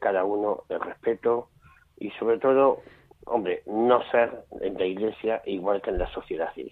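This man has a normal speaking voice with a fairly low pitch. He talks at a fairly slow pace. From Jaén, Andalusia, Spain. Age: 50s. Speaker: blind association president. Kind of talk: testimony.

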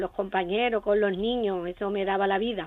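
This is a woman's voice at a medium pitch. Her intonation stays fairly even. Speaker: retired teacher, caller. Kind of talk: phone-in call. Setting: phone call.

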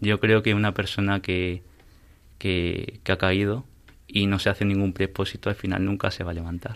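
The recording is very clean, with a silent background. A man speaks at a moderate pace in a fairly low, monotone voice with flat intonation. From Peru, raised in Spain from age six. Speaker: university student. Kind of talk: interview. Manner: hesitant.

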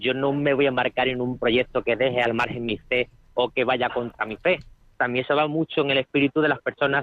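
A man with an ordinary speaking voice talks at a fairly quick pace with a fairly high pitch. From Spain, Málaga province (Álora). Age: young. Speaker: volunteer, building engineer. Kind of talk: interview.

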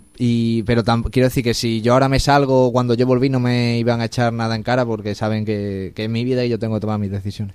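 This man talks at a fairly quick pace in a medium pitch. His intonation stays flat and monotone. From Spain, Extremadura (Badajoz). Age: young. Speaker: university student, volunteer. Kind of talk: interview testimony.

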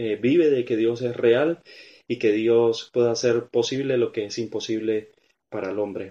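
Over a quiet background, a man's voice sits at a medium pitch with a dark, mellow tone. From Venezuela, small town on the Colombian border. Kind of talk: testimony. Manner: halting, many fillers.

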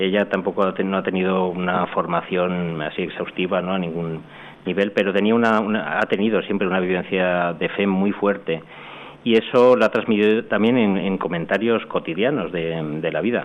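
Over noticeable background noise, a man with a very deep, low pitch talks at a moderate pace. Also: fairly even intonation. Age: 50s. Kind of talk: radio interview testimony. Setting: hall with live audience. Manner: halting.

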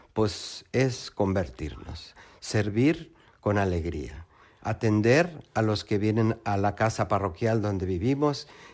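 A man with lively intonation and a medium pitch speaks in an ordinary speaking voice, in a very clean recording with a silent background. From Mexico. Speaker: lay missionary. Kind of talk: testimony.

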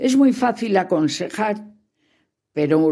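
On a very clean recording with a silent background, a woman speaks at a very slow pace in a dark, mellow tone with very wide pitch swings. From León, Spain. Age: 70s. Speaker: grandmother. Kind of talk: recorded talk to children.

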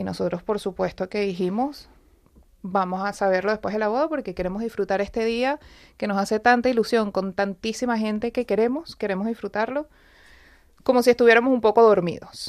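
In a very clean recording with a silent background, a woman talks at a fairly quick pace and a fairly high pitch. She has an ordinary speaking voice with ordinary pitch variation. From Venezuela. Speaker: wife of cancer patient. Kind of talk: testimony. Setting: live radio.

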